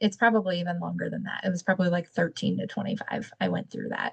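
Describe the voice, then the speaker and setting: Speaking at a very fast pace with hardly any pauses, a woman with a medium pitch shows vocal fry and big swings in loudness. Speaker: podcast co-host. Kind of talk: casual chat.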